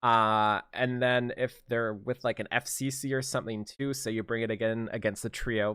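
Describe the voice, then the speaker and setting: Mumbling at medium pitch and a moderate pace, a man comes through a dry, close sound with no echo on a very clean recording with a silent background. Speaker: gaming youtuber. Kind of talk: game commentary. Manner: halting.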